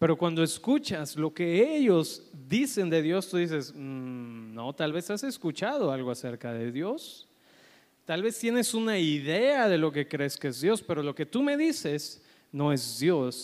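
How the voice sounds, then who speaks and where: Fairly high-pitched male speech at a fairly slow pace, full of very wide pitch swings, in a very clean recording with a silent background. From Colombia. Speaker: pastor. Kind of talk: sermon.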